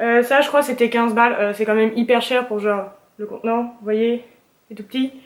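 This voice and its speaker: A woman speaks at a fairly quick pace, her intonation flat and monotone. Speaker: beauty vlogger. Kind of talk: casual haul video chat. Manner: hesitant with many fillers.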